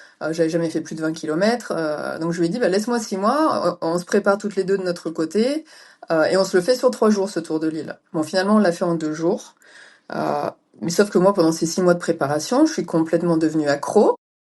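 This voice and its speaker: This is a woman with a normal speaking voice and a fairly low pitch. She talks at a fairly quick pace with ordinary pitch variation. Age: 40s. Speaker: ultra-distance cyclist. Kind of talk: interview.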